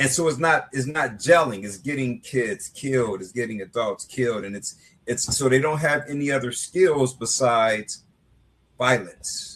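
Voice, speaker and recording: A man speaks in a normal speaking voice at medium pitch. His pitch varies an ordinary amount, and his pace is moderate. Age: 60s. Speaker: author and anti-violence activist. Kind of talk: interview. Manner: repetitive, conversational with filler words.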